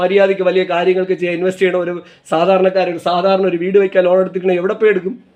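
This man speaks with a high pitch. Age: 40s. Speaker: vlogger. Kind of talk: monologue vlog rant. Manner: impassioned.

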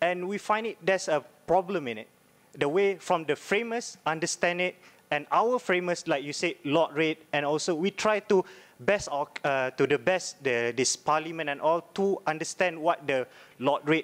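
The man's pitch is high. He speaks at a very slow pace. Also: ordinary pitch variation. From Malaysia. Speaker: law student. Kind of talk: audience question. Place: hall. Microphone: podium.

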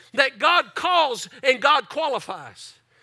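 A man's extremely high-pitched, raised and projected voice, bright and sharp in tone, over a quiet background. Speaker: pastor. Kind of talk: sermon. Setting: church. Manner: animated; repetitive, preacherly cadence. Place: church. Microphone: headset.

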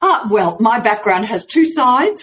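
The voice belongs to a woman. She keeps a moderate pace. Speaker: remote podcast guest, voice coach. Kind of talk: interview answer. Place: home room.

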